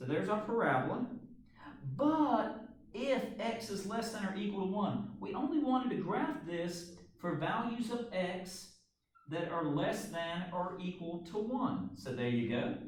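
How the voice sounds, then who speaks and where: A man's high-pitched voice with very wide pitch swings at a fairly slow pace, amid noticeable background noise and audible room echo. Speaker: math teacher. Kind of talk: tutorial. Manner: casual.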